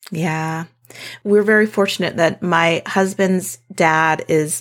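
With an American accent, the speaker talks at a very slow pace with fairly even intonation. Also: woman. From South Dakota, US Midwest. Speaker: homesteader and land steward. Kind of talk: casual interview conversation.

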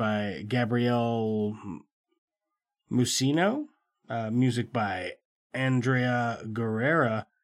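Captured in a very clean recording with a silent background, a man of medium pitch uses an unremarkable speaking voice with fairly even intonation. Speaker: podcast host. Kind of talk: casual chat. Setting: studio.

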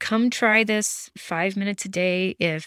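A woman speaks in a plain, everyday voice at medium pitch, with ordinary pitch variation. The sound is dry and close with no echo, and the recording is very clean over a silent background. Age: 50s. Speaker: podcast host, gratitude and Reiki practice leader. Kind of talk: casual monologue. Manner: chatty, rambling with fillers.

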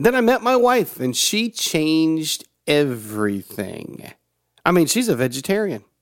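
Delivered at a fairly slow pace in an American accent, the speech moves through very wide pitch swings. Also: man. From US South (Georgia, Tennessee). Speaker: motivational podcast host. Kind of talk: motivational monologue.

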